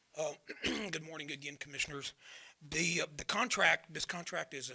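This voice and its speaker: A man's fairly high voice at a very fast pace with ordinary pitch variation, over noticeable background noise. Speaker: county official presenting to commissioners. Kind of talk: public meeting presentation. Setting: county commissioners court meeting. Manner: halting, many fillers.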